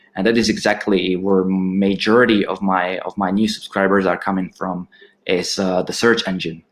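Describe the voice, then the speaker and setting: Talking at a moderate pace with a Slovak accent, a man uses a fairly low pitch and fairly even intonation. The recording is very clean, with a silent background. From Slovakia. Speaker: aquarium YouTuber. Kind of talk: interview on live stream.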